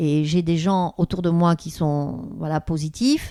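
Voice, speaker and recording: A woman with a dark, mellow tone and fairly low pitch speaks at a fairly slow pace. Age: 60s. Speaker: therapist and author. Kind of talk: interview.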